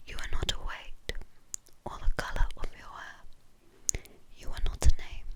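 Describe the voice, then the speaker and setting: Whispering in a gentle, calm tone, the voice comes through noticeable background noise. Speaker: ASMR creator who reads poems. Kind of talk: whispered ASMR poetry reading. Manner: soft, gentle, calm.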